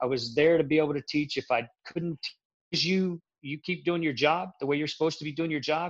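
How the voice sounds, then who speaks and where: An American accent with fairly even intonation. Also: man. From Central Florida. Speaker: military veteran and film project guest. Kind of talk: casual chat.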